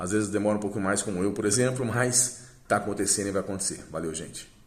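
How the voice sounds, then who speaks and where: A man speaking with fairly even intonation, plus audible room echo. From southern Brazil, Paraná. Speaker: dance teacher and school owner. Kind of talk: testimonial. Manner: hesitant, many fillers.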